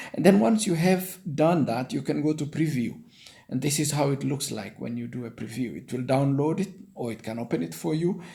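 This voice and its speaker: Speaking at a moderate pace with vocal fry, a man talks in a Kenyan accent. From Kenya, Nandi-speaking. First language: Nandi. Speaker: online career tutorial maker. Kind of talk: tutorial. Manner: halting.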